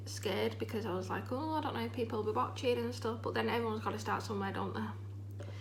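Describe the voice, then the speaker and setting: Audible room echo surrounds a woman speaking with a Yorkshire accent. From Yorkshire, England. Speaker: vlogger. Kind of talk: casual chat. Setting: at home. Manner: rambling, chatty.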